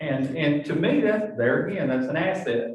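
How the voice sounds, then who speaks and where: A man's fairly high pitch with ordinary pitch variation and audible room echo. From not from the area. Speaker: local resident. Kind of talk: community meeting discussion.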